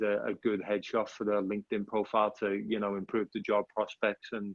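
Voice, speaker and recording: Pitched fairly low, a man's voice moves at a fairly quick pace. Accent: Liverpool. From England, Liverpool. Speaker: headshot photographer. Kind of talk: casual interview chat.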